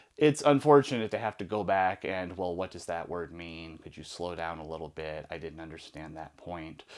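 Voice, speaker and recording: On a very clean recording with a silent background, a man with a very deep, low pitch speaks with hardly any pauses, big swings in loudness and ordinary pitch variation. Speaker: former prisoner telling stories. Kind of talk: storytelling monologue. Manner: fast.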